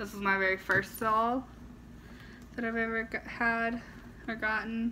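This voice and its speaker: A woman's fairly high-pitched voice in a monotone, flat intonation. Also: fairly slow pace. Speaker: doll collector vlogger. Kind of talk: casual vlog. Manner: casual with fillers.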